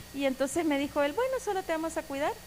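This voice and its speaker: A woman at a fairly quick pace, lively in intonation, over noticeable background noise. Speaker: church member giving testimony. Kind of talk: testimony sermon. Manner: loud.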